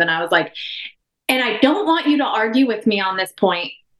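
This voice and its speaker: The speaker has an American accent and an ordinary speaking voice. The pace is fairly quick, with lively intonation. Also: woman. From Oregon. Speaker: physical therapist. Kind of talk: casual chat.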